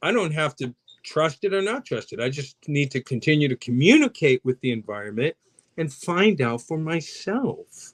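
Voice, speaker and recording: Against a quiet background, a man speaks at a fairly high pitch and a moderate pace. The audio is dry and close, without echo. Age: 60s. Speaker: mental health guest speaker. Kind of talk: podcast interview. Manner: animated.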